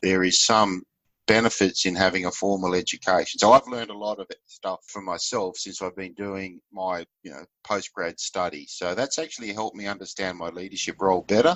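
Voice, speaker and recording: With an Australian accent, a man speaks fairly quickly at a fairly low pitch, his intonation fairly even but his loudness swinging widely. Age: 60s. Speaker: leadership facilitator and fisheries consultant. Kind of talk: interview.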